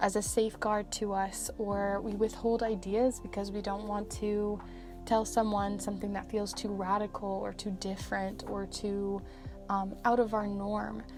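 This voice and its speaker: Over music in the background, a woman speaks at a medium pitch with monotone, flat intonation. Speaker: tarot reader. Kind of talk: soft-spoken ASMR tarot reading, slow and calm.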